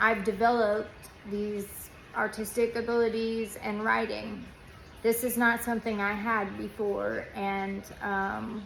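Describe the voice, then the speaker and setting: A woman's very slow, monotone delivery with flat intonation and audible room echo. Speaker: former nurse turned patient vlogger. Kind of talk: casual vlog monologue. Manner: halting, many fillers.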